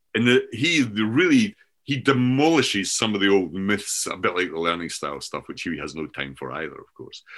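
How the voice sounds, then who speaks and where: Speaking in a Scottish accent at a fairly quick pace with hardly any pauses, the voice shows vocal fry, very wide pitch swings and big swings in loudness. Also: man, fairly low pitch for a man. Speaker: professor and author. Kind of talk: casual discussion of ideas.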